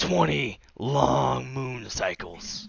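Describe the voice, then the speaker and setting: A man puts on a raspy character voice, very deep and low. His pitch swings very widely. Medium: actual play. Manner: gruff, blustering.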